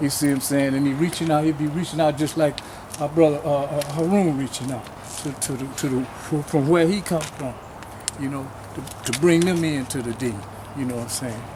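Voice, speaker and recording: A man talks at a fairly quick pace in a fairly high voice. His intonation is fairly even, with noticeable background noise behind him. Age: 70s. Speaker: community elder and activist. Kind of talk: speech at a march.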